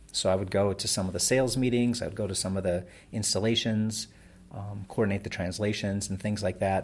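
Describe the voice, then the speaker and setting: Fairly low in pitch with fairly even intonation, a man talks at a fairly quick pace in an ordinary speaking voice. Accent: American. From Wisconsin, Door County. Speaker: web business founder. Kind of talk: interview.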